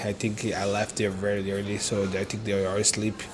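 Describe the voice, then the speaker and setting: Moderate pace in a Brazilian Portuguese accent, with music in the background. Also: man. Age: 30s. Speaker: entrepreneur vlogger. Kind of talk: casual vlog talk to camera. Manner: halting, many fillers.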